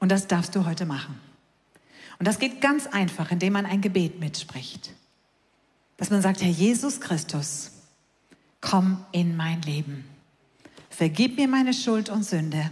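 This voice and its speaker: A woman's somewhat breathy, medium-pitched voice with lively intonation, at a fairly slow pace with long, frequent pauses and audible room echo. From Hamburg, northern Germany. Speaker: evangelist. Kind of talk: sermon.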